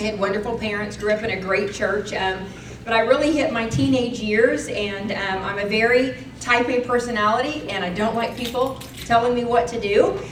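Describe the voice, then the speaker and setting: There is audible room echo and noticeable background noise as a woman speaks at a fairly high pitch. Her pace is moderate and her pitch variation ordinary. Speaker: speaker sharing testimony. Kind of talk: testimony. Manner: loud; animated.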